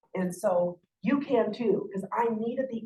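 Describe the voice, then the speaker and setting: Somewhat breathy and animated in tone, a woman speaks with a fairly high pitch. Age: 60s. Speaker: sales director. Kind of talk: motivational talk. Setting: stage with audience.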